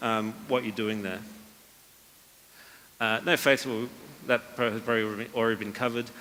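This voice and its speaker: In a room with audible echo, a man talks at a medium pitch. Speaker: copywriting speaker. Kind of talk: conference talk. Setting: stage with audience. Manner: fast; many fillers and repetitions.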